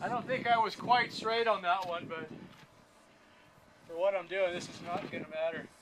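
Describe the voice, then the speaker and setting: A high-pitched man at a moderate pace, with ordinary pitch variation, big swings in loudness, long, frequent pauses and noticeable background noise. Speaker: YouTuber, military veteran tinkerer. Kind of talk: woodworking tutorial.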